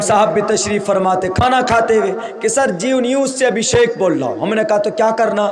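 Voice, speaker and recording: Audible room echo and noticeable background noise run through the recording. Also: man. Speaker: Islamic cleric. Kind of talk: sermon. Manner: animated.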